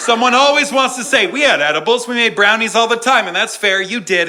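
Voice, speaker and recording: A man speaks in a raised, projected voice at an extremely high pitch, with very wide pitch swings, audible room echo and noticeable background noise. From New England. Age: 30s. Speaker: comedian. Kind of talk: stand-up. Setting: stage with audience. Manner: animated.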